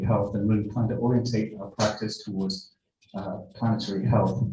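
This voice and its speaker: Speaking at a fairly quick pace, a man with a fairly low, somewhat breathy voice keeps his intonation fairly even. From Wales. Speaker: nurse and university academic. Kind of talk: conference talk. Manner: halting, many fillers.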